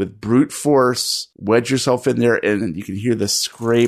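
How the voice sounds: The clip carries a natural reading voice. That voice is all there is.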